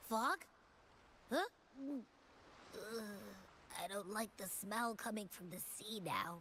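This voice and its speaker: A female-sounding put-on character voice, fairly high in pitch, at a very slow pace with long, frequent pauses over clear background noise. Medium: video game. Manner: sassy, bubbly.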